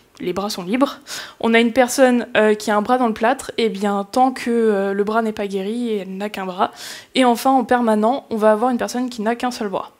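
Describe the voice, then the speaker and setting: A woman speaks at a moderate pace and a fairly high pitch, her intonation fairly even. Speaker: conference speaker on game accessibility. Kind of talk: conference talk. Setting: stage with audience. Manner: hesitant, many fillers.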